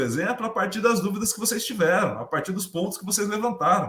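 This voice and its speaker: A raised, projected male voice, bright and sharp in tone. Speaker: podcast host. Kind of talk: casual chat. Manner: talkative.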